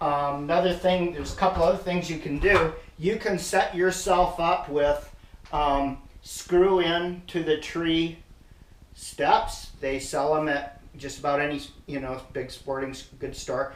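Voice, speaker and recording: A man's high-pitched voice at a fairly slow pace, fairly even in intonation, with audible room echo. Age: 60s. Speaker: hunting gear reviewer. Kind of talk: product demonstration tutorial. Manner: casual, with frequent hesitations.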